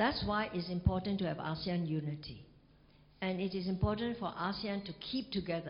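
A woman talks at a fairly quick pace in a medium-pitched voice with ordinary pitch variation. There is audible echo from the room. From Singapore. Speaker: ambassador and university professor. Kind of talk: lecture and Q&A.

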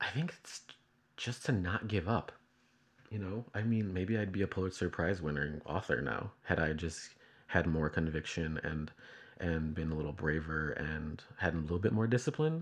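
A soft-spoken man with an American accent and a very deep, low pitch, over a quiet background. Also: ordinary pitch variation, moderate pace. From Chicago. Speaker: video artist and programmer. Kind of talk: casual interview conversation. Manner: soft-spoken, hesitant.

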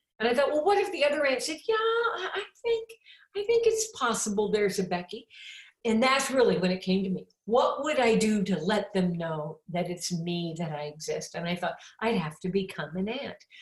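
A woman with a Midwestern American accent speaks with very wide pitch swings. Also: fairly high pitch for a woman, moderate pace. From US Midwest, Champaign, Illinois. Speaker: author and evangelist. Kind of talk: interview.

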